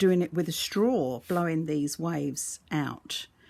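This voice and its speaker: A woman speaks in an Australian accent with a dark, mellow tone. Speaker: resin art teacher. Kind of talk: tutorial. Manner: casual, hesitant with fillers.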